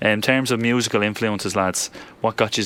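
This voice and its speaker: At a very fast pace, a man with a Dublin accent speaks in monotone, flat intonation. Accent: Dublin Irish. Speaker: radio host. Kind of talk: casual radio interview. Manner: casual, chatty.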